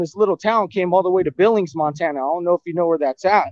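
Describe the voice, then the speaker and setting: A man with an American accent speaks at a high pitch in a dry sound with no echo and a quiet background. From California. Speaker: viewer call-in; guest. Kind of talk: casual chat. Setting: video call. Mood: candid, rough storytelling. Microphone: video call.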